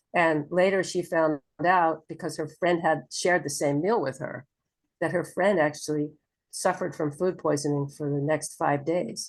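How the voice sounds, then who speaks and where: Against a quiet background, a woman speaks with a very deep, low pitch. Her pace is moderate and her intonation fairly even. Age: 70s. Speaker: homeopath and former nurse. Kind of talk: interview storytelling. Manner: halting.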